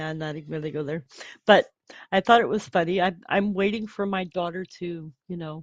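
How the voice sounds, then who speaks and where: A woman speaks in a normal speaking voice with lively intonation at a moderate pace. The background is quiet, and the sound is dry and close with no echo. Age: 60s. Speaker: livestream host. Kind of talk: casual livestream chat. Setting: livestream.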